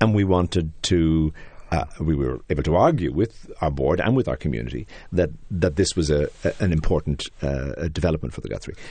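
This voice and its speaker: A man with an Irish accent, very deep and low in pitch, with vocal fry and a fairly quick pace. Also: ordinary pitch variation. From Ireland. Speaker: theater artistic director. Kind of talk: interview. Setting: studio.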